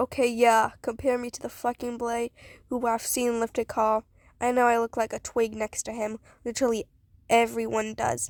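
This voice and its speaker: A raspy, put-on character voice delivers its lines at a moderate pace in a monotone, flat intonation. The recording is very clean, dry and close, with a silent background and no echo. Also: woman, fairly high pitch for a woman. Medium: read story. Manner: gruff, swearing, sardonic.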